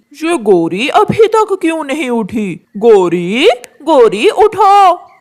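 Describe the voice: A cartoonish character voice, high in pitch with very wide pitch swings, moves at a very slow pace.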